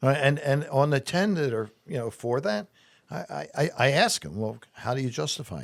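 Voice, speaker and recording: This man speaks at a moderate pace with a New Jersey accent, his pitch medium and his intonation lively. The recording is very clean, with a silent background. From US Northeast, New Jersey shore. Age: 60s. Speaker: political candidate. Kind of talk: interview. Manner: halting, with frequent repetitions.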